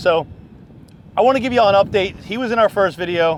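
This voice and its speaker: A man talks very fast at a high pitch, his voice making very wide pitch swings. Noticeable background noise is present. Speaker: fishing charter captain and video host. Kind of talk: casual vlog narration.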